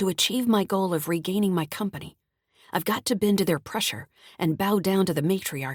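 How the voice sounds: The speaker uses a natural reading voice against a quiet background.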